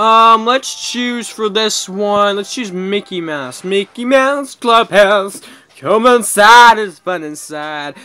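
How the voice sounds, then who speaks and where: A man speaks very slowly in a raised, projected voice with ordinary pitch variation and big swings in loudness, while faint music plays in the background. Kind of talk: gameplay commentary.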